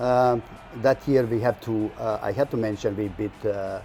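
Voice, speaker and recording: A man's fairly low-pitched voice with a Croatian accent and fairly even intonation, over background music. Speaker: soccer club representative. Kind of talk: TV interview. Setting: TV studio. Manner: halting, many fillers.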